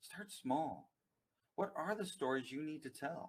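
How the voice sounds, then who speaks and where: Speaking with an American accent in an unremarkable speaking voice, this talker moves at a fairly slow pace with lively intonation. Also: man. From United States. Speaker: company CEO, data consultant. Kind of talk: webinar presentation. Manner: formal.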